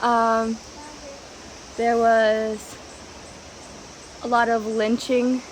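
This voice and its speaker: A woman speaks at a fairly high pitch. Noticeable background noise sits behind her. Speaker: vlogger. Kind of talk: travel vlog narration. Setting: outdoors. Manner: hesitant, many fillers; loud.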